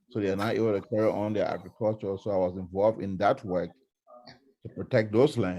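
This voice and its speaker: Very fast and fairly low-pitched, a man talks with a dark, mellow tone and fairly even intonation. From Liberia. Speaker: lawyer and law professor. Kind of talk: self-introduction at online seminar. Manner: hesitant, many fillers.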